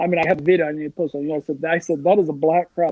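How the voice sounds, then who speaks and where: A man speaks in an animated tone. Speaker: crappie angler. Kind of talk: casual chat. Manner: fast, animated.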